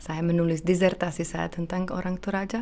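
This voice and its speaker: A woman is speaking. Her pitch is medium. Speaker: university lecturer in Indonesian studies. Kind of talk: interview conversation. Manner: halting.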